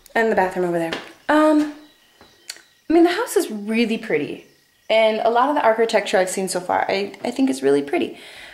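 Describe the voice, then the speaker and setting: A woman's high voice with very wide pitch swings. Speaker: traveler vlogger on a farm stay. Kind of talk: casual vlog house tour. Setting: indoors, walking through a house. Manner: hesitant, many fillers.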